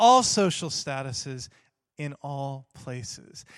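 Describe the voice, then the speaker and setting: A man with an American accent speaks with lively intonation against a quiet background. The sound is dry and close with no echo. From Texas. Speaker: preacher and theology teacher. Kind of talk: sermon. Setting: church.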